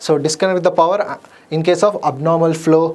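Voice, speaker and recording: A man speaks at a fairly quick pace in a voice pitched high for a man. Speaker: exam coaching teacher. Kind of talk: lecture. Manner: fast.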